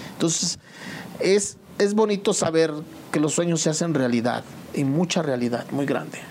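A man speaks at a moderate pace in a fairly high pitch for a man. His pitch varies in an ordinary way, and he leaves long, frequent pauses. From Mexico, State of Mexico (Temascalcingo). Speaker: musician. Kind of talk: interview.

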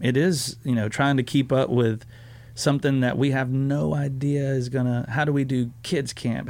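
A man with a Southern US accent speaks at medium pitch and a moderate pace with fairly even intonation. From US South. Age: 30s. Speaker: student pastor. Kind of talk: casual chat.

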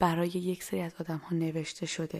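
A woman's fairly low voice comes through in a very clean recording with a silent background. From Iran. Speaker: podcast host. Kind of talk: personal storytelling and poetry reading.

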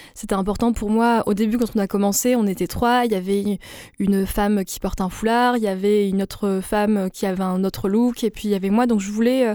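The tone is dark and mellow, the intonation monotone and flat. The pace is fairly quick. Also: woman. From France, Avignon (Moroccan family). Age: 20s. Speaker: podcast creator. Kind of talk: radio interview.

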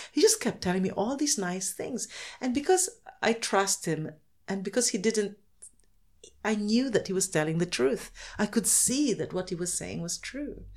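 Somewhat breathy speech at a moderate pace, with lively intonation broken by long, frequent pauses. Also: woman, medium pitch for a woman. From Philippines. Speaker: children's author. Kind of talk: casual interview.

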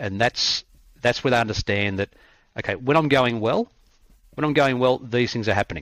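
Heard dry and close with no echo, a man speaks with an Australian accent. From Australia, country Victoria. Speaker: cricket coach. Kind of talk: interview conversation.

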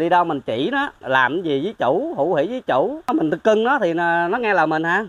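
A man is speaking. His pitch swings very widely. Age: 40s. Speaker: farmer. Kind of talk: interview.

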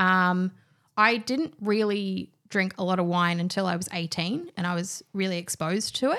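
The recording is very clean with a silent background. A woman speaks at a moderate pace in a bright, sharp tone with ordinary pitch variation. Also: medium pitch for a woman. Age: 20s. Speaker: wine industry professional. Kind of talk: casual chat. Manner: animated.

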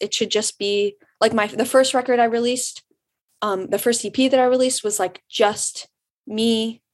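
With an American accent, a woman speaks with fairly even intonation in a normal speaking voice. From Michigan, Detroit suburbs. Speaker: singer-songwriter. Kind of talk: interview. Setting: video call.

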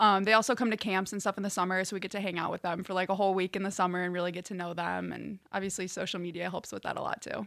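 A woman with a Chicago accent and a medium pitch speaks very fast with hardly any pauses in a monotone, flat voice, on a very clean recording with a silent background. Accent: Chicago-area American. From Chicago suburbs, Illinois. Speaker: college volleyball player. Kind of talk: interview.

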